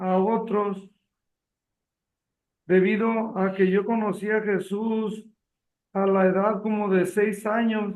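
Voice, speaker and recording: A man's high voice, monotone and flat, at a very slow pace. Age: 60s. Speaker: retired accountant. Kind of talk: testimony reading aloud.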